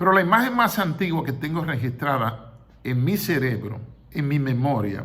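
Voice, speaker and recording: With audible room echo, a man talks at a moderate pace in a fairly high pitch and a bright, sharp tone, his pitch swinging very widely. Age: 60s. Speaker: retired general, history commentator. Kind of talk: history commentary monologue.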